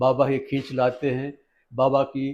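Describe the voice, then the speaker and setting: The man's voice sits fairly high in pitch, with a quiet background behind it. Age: 70s. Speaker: devotee. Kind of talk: interview testimony. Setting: at Shirdi.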